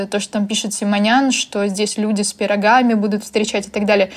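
A woman with a fairly high pitch is heard in a very clean recording with a silent background. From Ukraine. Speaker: magazine publisher. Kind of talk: casual chat.

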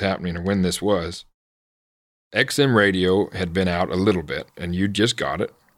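At a moderate pace, a man with a fairly low pitch and an unremarkable speaking voice talks with fairly even intonation. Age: 30s. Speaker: horse trainer and podcast host. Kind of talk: casual interview.

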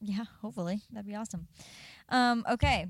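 A woman's unremarkable speaking voice at a medium pitch, fairly quick in pace, with ordinary pitch variation. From Southern California. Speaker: podcast co-host. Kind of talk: casual chat.

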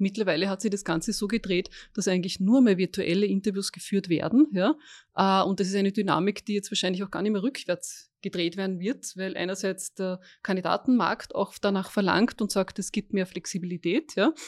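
Against a quiet background, a woman with an unremarkable speaking voice talks at a moderate pace and medium pitch, with ordinary pitch variation and a dry, close sound with no echo. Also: hardly any pauses. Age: 50s. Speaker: recruitment executive. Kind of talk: interview. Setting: office room.

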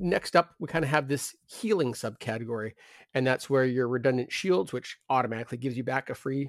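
A man's unremarkable speaking voice, medium in pitch, at a moderate pace, in a very clean recording with a silent background and a dry, close sound free of echo. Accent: Canadian. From Canada. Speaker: tabletop wargame podcast co-host. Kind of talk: casual chat.

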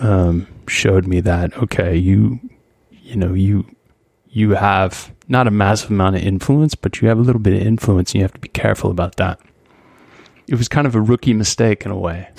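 A normal speaking voice from a man with an American accent, fairly low in pitch with ordinary pitch variation, at a moderate pace, in a dry, close sound with no echo. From US Pacific Northwest, Skagit Valley, Washington. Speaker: photographer. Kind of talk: interview.

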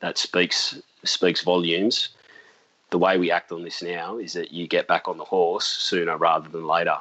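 A man speaks at a moderate pace with an Australian accent. His loudness swings widely. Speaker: seaplane pilot. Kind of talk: interview.

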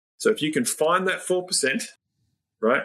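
A man talks with an Australian accent. His intonation is lively. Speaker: NLP trainer and business coach. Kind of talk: interview conversation.

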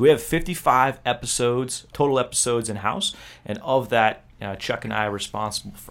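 In a normal speaking voice, a man talks at a fairly quick pace with ordinary pitch variation on a very clean recording with a silent background. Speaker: military officer podcast host. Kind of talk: casual podcast chat. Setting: studio.

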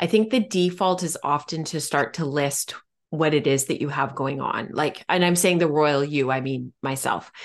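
Against a quiet background, a woman talks in a very deep, low voice. Her pitch varies in an ordinary way. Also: moderate pace. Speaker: podcast host. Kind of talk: casual chat.

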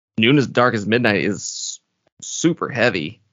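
Here a man speaks at medium pitch. He has a slight Southern US accent. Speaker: podcast co-host. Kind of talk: casual chat.

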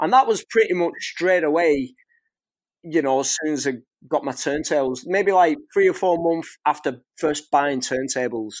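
A man with a strong Northwest English accent speaks at a fairly high pitch and a moderate pace, his intonation lively. The recording is very clean, with a silent background. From northwest England. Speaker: scratch DJ and teacher. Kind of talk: casual interview chat.

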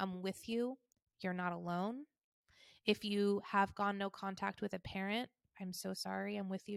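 In a very clean recording with a silent background, a woman with an American accent speaks at a fairly quick pace, the sound dry and close with no echo. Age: 30s. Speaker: podcast host. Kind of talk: personal storytelling monologue. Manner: casual, conversational.

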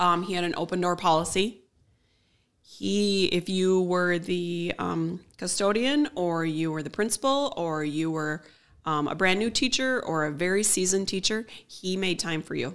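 A woman speaks in a normal speaking voice, fairly low in pitch with ordinary pitch variation, on a very clean recording with a silent background. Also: moderate pace. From Minnesota, Willmar area. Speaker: technology campus manager. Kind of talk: casual interview chat.

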